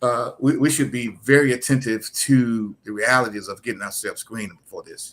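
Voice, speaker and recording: In a North Carolina accent, the speaker talks at a fairly quick pace with hardly any pauses and big swings in loudness. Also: man. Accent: Southern US, North Carolina. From US South, eastern North Carolina (Rocky Mount). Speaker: health educator and nonprofit founder. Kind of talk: interview. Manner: repetitive stammering restarts.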